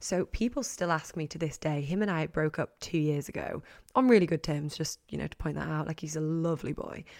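A woman with an English accent talks at a fairly quick pace in a very deep, low pitch, on a very clean recording with a silent background. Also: ordinary pitch variation. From England. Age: 20s. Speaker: podcast host. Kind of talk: solo casual chat.

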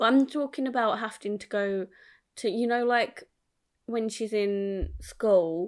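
In an English accent, a woman talks at a fairly slow pace. Her pitch variation is ordinary. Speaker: podcast co-host, parent. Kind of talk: casual chat.

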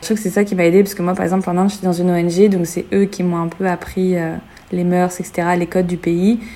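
Over noticeable background noise, a woman speaks at a fairly quick pace. Her medium-pitched voice is monotone and flat. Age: 20s. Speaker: travel blogger. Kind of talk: casual chat.

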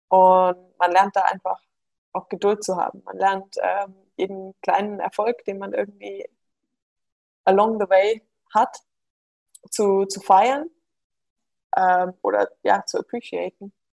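With long, frequent pauses, a woman talks at a very slow pace, the sound dry and close with no echo. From Bavaria (Munich). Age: 20s. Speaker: former pro triathlete and mathematician. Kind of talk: interview. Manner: hesitant, many fillers.

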